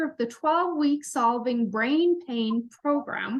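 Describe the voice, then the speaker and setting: This woman has a high-pitched voice with ordinary pitch variation. She talks at a fairly slow pace. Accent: Irish. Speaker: health podcast host. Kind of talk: podcast interview.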